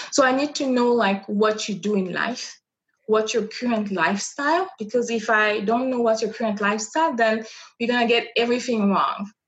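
Speaking fairly quickly with a French accent, a woman uses a fairly high, somewhat breathy voice with ordinary pitch variation. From Republic of the Congo (Brazzaville). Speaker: image and style consultant. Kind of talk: interview.

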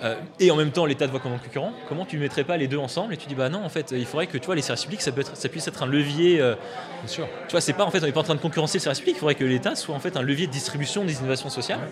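Noticeable background noise sits behind a man talking at a very fast pace. His pitch is fairly high, with ordinary pitch variation. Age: 20s. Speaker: tech nonprofit founder. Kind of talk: radio interview.

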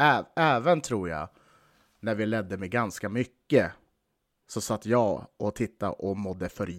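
A man with an unremarkable speaking voice talks at a fairly low pitch and a fairly slow pace, with lively intonation. The recording is very clean, with a silent background and a dry, close sound with no echo. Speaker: podcast host and hockey fan. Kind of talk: casual chat about the team.

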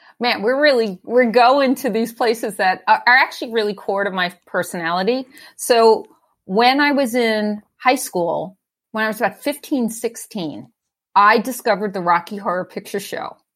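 In a very clean recording with a silent background, a woman with an American accent uses a normal speaking voice, fairly high in pitch, at a moderate pace with ordinary pitch variation. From New York, Staten Island. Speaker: executive leadership coach and design leader. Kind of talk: casual interview chat.

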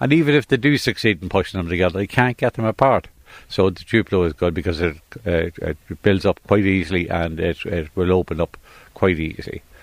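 Very deep and low, this man's voice stands out. He moves at a fairly quick pace. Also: ordinary pitch variation, dry, close sound with no echo. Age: 70s. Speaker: toy shop owner. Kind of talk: interview. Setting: in a shop.

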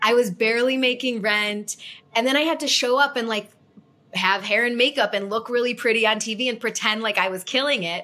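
A woman speaks at a fairly quick pace with a fairly high pitch. Hers is an ordinary speaking voice, with ordinary pitch variation. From US Midwest, Chicago suburbs. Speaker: TV host and entrepreneur. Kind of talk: interview conversation.

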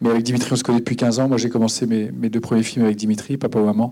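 This man has a medium pitch and a dark, mellow tone. His intonation is monotone and flat. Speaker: film director. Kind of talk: post-screening Q&A. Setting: stage with audience.

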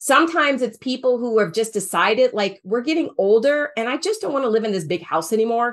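In an unremarkable speaking voice with an American accent, the speaker moves at a fairly quick pace with lively intonation. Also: woman. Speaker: financial planner, former senior housing professional. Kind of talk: interview, casual conversational.

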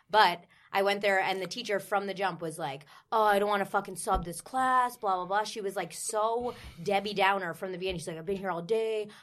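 A woman's ordinary speaking voice at medium pitch, fairly quick in pace with fairly even intonation, on a very clean recording with a silent background. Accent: American. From New Jersey. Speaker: personal trainer, former dancer. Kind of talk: casual chat.

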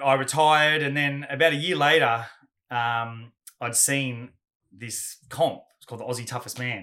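An Australian accent from a man, bright and sharp in tone, at a moderate pace on a very clean recording with a silent background. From Australia, Gold Coast. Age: 40s. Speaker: Muay Thai fighter and adventure athlete. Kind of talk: casual interview chat.

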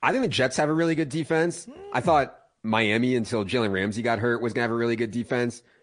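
Against a quiet background, a man with a normal speaking voice and medium pitch talks at a fairly quick pace with lively intonation. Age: 40s. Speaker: fantasy football analyst. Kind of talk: radio interview.

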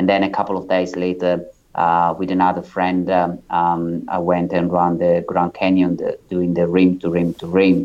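A man's very deep, low voice with an Italian accent and monotone, flat intonation. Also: moderate pace, hardly any pauses. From Italy. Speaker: ultramarathon runner. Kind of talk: interview. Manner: halting.

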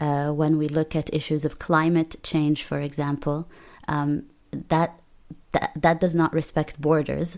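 Speaking at a fairly slow pace with long, frequent pauses, a woman uses a very deep, low pitch and a monotone, flat intonation. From Palestinian refugee family, lived in Lebanon. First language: Arabic. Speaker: poet, artist and politics lecturer. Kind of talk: interview. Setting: remote call from London.

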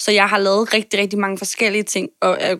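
A woman speaks at a medium pitch on a very clean recording with a silent background. The sound is dry and close, with no echo. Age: 20s. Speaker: podcast guest, marketer and performer. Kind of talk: interview about personal health. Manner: hesitant, many fillers.

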